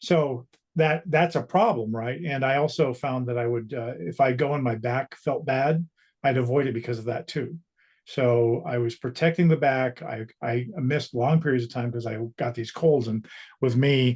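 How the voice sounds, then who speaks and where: Speaking at a moderate pace, a man sounds somewhat breathy, with ordinary pitch variation. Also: medium pitch for a man. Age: 60s. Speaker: strength training client. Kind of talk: interview. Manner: halting.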